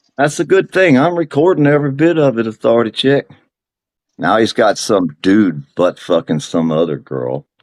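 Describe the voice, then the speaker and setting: In dry, close sound with no echo, a man with a medium pitch talks at a moderate pace with very wide pitch swings. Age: 60s. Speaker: livestream participant. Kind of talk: heated argument. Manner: aggressive taunting.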